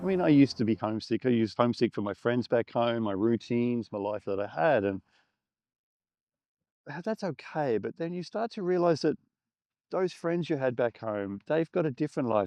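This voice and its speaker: This man has an Australian accent and a medium pitch. His pitch swings very widely at a fairly quick pace. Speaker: filmmaker. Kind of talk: reflective talk to camera. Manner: casual, conversational.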